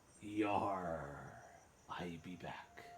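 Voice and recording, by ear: A man uses a put-on character voice with a very deep, low pitch. Clear background noise runs underneath.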